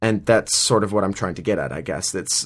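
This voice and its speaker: A man speaks in a plain, everyday voice with fairly even intonation. The recording is very clean with a silent background. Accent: American. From Minnesota. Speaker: podcaster. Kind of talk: solo commentary. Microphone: new microphone.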